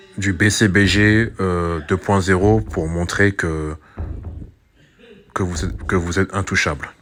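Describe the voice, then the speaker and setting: A man's very deep, low voice at a very slow pace, with fairly even intonation and long, frequent pauses. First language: not French (speaking French). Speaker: YouTuber, commentator. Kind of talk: monologue commentary video. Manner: hesitant, many fillers and repetitions.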